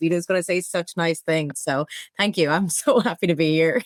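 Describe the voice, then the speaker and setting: This woman speaks at a fairly quick pace in a fairly low pitch, with ordinary pitch variation. The sound is dry and close, with no echo. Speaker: fraud operations manager. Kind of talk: interview.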